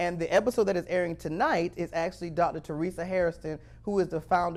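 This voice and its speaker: An animated man's voice, high-pitched with ordinary pitch variation, at a fairly quick pace in a very clean recording with a silent background. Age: 40s. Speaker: talk show host. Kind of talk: interview.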